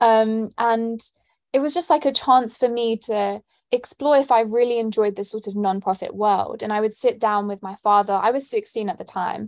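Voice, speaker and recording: In a very clean recording with a silent background, a woman with a London accent speaks at a fairly high pitch and a moderate pace, using ordinary pitch variation. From London, England. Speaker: student and nonprofit founder. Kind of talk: interview answers.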